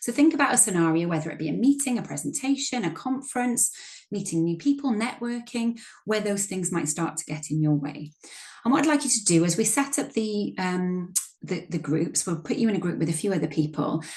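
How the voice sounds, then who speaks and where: Somewhat breathy, a woman talks at a fairly quick pace. Her medium pitch swings very widely. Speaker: workshop facilitator and coach. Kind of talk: training workshop presentation. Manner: fast.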